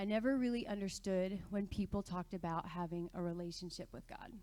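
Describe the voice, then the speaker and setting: A woman's medium-pitched voice with a dark, mellow tone, ordinary pitch variation and an American accent. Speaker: church member sharing testimony. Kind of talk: testimony. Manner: fast when nervous.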